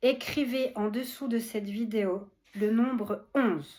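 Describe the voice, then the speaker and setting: Her voice sits fairly high, and the pitch moves up and down in an ordinary way. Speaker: spiritual channeler. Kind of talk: spiritual message. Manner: warm, affectionate.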